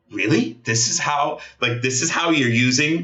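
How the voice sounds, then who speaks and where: A medium-pitched man at a fairly slow pace, ordinary pitch variation, audible room echo. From Gaza, Palestinian. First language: Arabic. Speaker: Middle East analyst. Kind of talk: interview. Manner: animated, passionate; halting, repetitive stammers.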